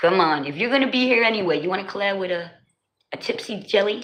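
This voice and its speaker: A woman's animated tone at a fairly quick pace, with audible room echo. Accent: New Jersey. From New Jersey. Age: 40s. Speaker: livestreamer. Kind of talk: casual chat. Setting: livestream.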